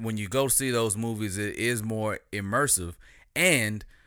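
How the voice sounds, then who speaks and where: A man's fairly low voice at a moderate pace, with music in the background. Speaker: podcast co-host. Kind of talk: casual chat.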